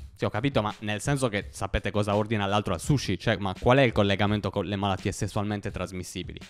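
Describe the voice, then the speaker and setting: With music in the background, the speaker rushes along at a very fast pace with hardly any pauses and ordinary pitch variation. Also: man, fairly low pitch for a man. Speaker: stand-up comedian. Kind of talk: stand-up comedy. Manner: casual, conversational storytelling with hesitant fillers. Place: home room. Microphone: handheld.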